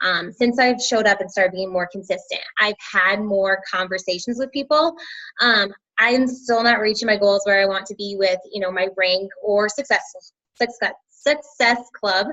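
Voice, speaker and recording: A woman is speaking at medium pitch. Her pitch varies in an ordinary way. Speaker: teacher and fitness coach. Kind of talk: team call presentation. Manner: fast; hesitant, filler-heavy.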